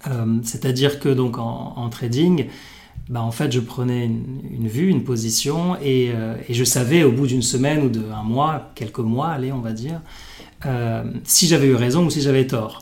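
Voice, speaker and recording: A man's medium-pitched voice at a fairly slow pace with ordinary pitch variation, audible room echo and noticeable background noise. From Morocco. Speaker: venture capital investor. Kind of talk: interview. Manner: halting, many fillers.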